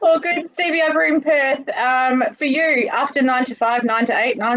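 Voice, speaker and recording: A woman speaks with an Australian accent at a high pitch. Her pace is moderate, with ordinary pitch variation. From Queensland, Australia. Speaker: industry association state manager. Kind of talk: casual chat.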